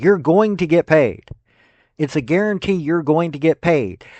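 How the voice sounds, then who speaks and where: A fairly high-pitched man with a Tennessee accent and ordinary pitch variation. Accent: US Southern (Tennessee). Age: 50s. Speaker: sports commentator. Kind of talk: opinion commentary. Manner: casual, conversational.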